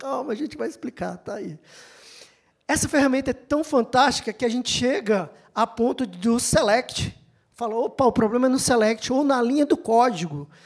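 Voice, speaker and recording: A woman's high voice in an animated tone. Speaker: IT infrastructure manager. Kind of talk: conference talk.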